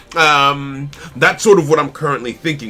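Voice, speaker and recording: Over music in the background, a man with a fairly high pitch speaks in an animated tone at a moderate pace. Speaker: indie card game developer streamer. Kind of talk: live stream commentary.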